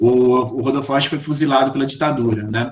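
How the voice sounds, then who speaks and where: This man speaks with an interior São Paulo accent at a fairly high pitch. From interior of São Paulo state, Brazil. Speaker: poetry course instructor and publisher. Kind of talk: online lecture and group discussion. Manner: hesitant, with fillers.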